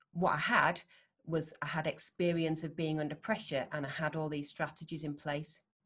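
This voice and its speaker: In a Yorkshire accent, a woman speaks at a moderate pace with a very deep, low pitch and monotone, flat intonation. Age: 40s. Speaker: world champion Thai boxer and neurophysiotherapist. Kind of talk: interview conversation.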